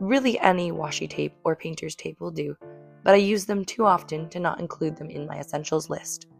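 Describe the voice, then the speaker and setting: A woman's fairly low-pitched voice with music in the background. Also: ordinary pitch variation, fairly quick pace, big swings in loudness. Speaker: artist. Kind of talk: casual talk to camera.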